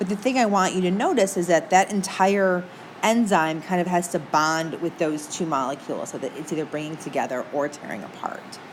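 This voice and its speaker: A woman with a Midwestern American accent speaks fairly quickly at a fairly low pitch with ordinary pitch variation, amid audible room echo and noticeable background noise. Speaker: teacher. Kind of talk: lecture. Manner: casual, chatty.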